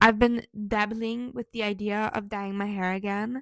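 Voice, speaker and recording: In an ordinary speaking voice, a woman talks at a moderate pace with a fairly high pitch and ordinary pitch variation, the sound dry and close with no echo on a very clean recording with a silent background. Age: 20s. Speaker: vlogger. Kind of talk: casual vlog.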